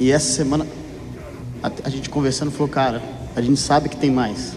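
Over noticeable background noise, a man at medium pitch speaks at a fairly quick pace with fairly even intonation. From Minas Gerais, Brazil. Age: 30s. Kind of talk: testimony.

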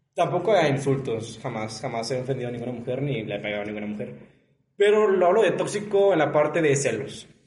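A man speaks at a fairly high pitch and a fairly quick pace. Audible room echo surrounds his voice. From León, Guanajuato, Mexico. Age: 20s. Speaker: law student. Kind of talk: casual chat.

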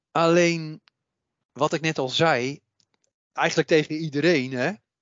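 A man at a fairly slow pace. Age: 60s. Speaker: psychic medium and author. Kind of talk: interview.

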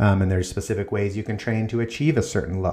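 In an ordinary speaking voice, a man speaks at a fairly low pitch with fairly even intonation. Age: 40s. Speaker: fitness podcast host. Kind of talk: solo podcast monologue. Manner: casual, filler-heavy.

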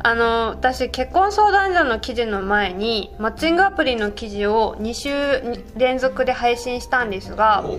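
A woman with a high pitch and lively intonation speaks fairly slowly, with hardly any pauses. Noticeable background noise is present. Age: 30s. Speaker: newspaper reporter. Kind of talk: casual chat.

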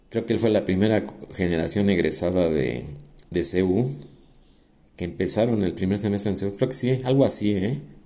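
A man with a fairly low pitch and a dark, mellow tone speaks at a moderate pace with lively intonation. He takes long, frequent pauses, and the room echo is audible. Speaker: podcast host, semi-retired architect. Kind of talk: casual monologue. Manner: hesitant, repeats words.

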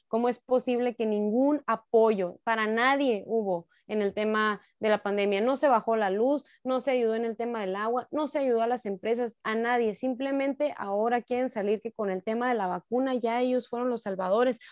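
With a plain, everyday voice, a woman speaks at a moderate pace in a fairly high pitch, her intonation fairly even and hardly any pauses between words. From Mexico, Sonora (Cananea). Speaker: local politician. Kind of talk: political interview.

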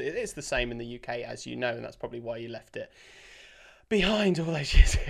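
A man with a British accent speaks on a very clean recording with a silent background. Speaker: podcast host. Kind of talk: interview. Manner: energetic, enthusiastic.

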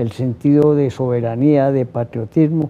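A man with an unremarkable speaking voice and a fairly high pitch speaks at a fairly slow pace. His pitch variation is ordinary. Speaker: TV interview host. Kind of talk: interview. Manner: formal.

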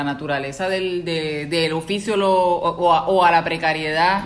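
Over noticeable background noise, a woman speaks in a Puerto Rican accent. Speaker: podcast host. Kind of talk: casual interview chat.

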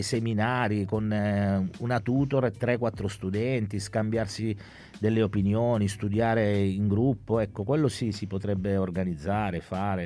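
A man's fairly low-pitched, dark, mellow voice with fairly even intonation. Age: 50s. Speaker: incarcerated university student. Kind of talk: reading aloud own story; radio interview. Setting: radio studio.

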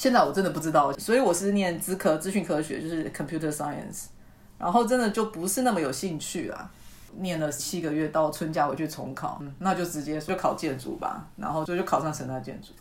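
A woman's fairly low-pitched voice, an unremarkable speaking voice, at a fairly quick pace with lively intonation. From Taiwan, Tainan County. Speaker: university lecturer in urban planning. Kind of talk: interview.

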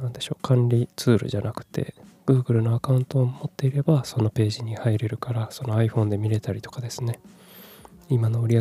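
A man's relaxed, somewhat breathy voice at medium pitch, dark and mellow in tone, with fairly even intonation and a dry, close sound with no echo. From Japan, Kumamoto. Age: 30s. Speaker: podcaster. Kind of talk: casual solo talk. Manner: soft, relaxed.

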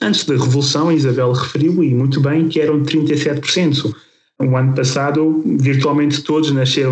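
The man's voice is fairly high in pitch, monotone and flat, at a fairly slow pace. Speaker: podcast host, health professional. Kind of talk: podcast discussion.

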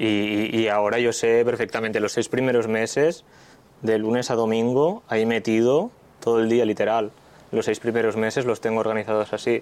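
A man's voice with flat, monotone intonation and very even loudness. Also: medium pitch for a man, moderate pace. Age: 20s. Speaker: pizza chef. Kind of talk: casual chat.

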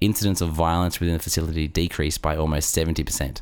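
Very deep and low, a man's voice moves at a very fast pace. The recording is very clean, with a silent background. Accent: Australian. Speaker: podcast co-host. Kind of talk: casual comedic chat. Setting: studio.

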